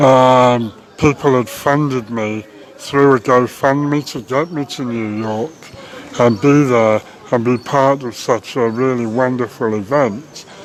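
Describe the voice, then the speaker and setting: Very slow speech with fairly even intonation over noticeable background noise. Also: man, medium pitch for a man. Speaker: vegan activist. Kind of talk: casual talk to camera. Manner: hesitant, many filler words.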